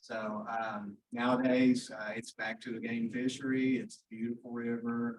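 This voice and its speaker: A man with a West Virginia accent, medium in pitch, monotone and flat, at a fairly slow pace with hardly any pauses. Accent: southern West Virginia. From southern West Virginia. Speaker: foundation representative. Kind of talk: welcome speech. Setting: meeting room.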